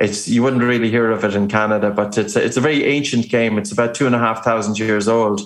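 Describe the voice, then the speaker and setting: A man with an Irish accent talks at a fairly low pitch. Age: 40s. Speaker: breathing expert and author. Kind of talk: interview.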